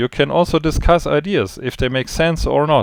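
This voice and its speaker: A man speaks at a fairly high pitch in a very clean recording with a silent background, the sound dry and close with no echo. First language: not English. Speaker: trading educator. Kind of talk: spontaneous video briefing. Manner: halting, searching for words.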